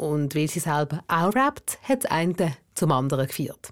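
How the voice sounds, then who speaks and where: Against a silent background, the recording is very clean. An ordinary speaking voice goes at a moderate pace with lively intonation. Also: woman. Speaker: podcast host. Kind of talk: documentary narration.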